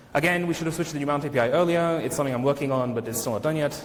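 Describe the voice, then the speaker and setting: A man speaks with a fairly high pitch and ordinary pitch variation. Noticeable background noise and audible room echo fill the recording. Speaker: conference speaker, software engineer. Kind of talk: conference talk; Q&A answer. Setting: stage with audience. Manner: fast.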